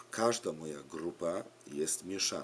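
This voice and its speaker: A man with a Polish accent talks at a very slow pace in a very deep, low voice, with light background noise behind him. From Poland. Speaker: preschool religion teacher. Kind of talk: direct-to-camera appeal for survey. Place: home room. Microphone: webcam.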